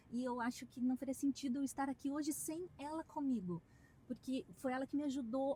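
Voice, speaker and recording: Speaking at a moderate pace, a woman has a high pitch and a dark, mellow tone. She talks with a strong Curitiba accent. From southern Brazil, Curitiba. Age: 40s. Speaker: dentist. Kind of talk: interview.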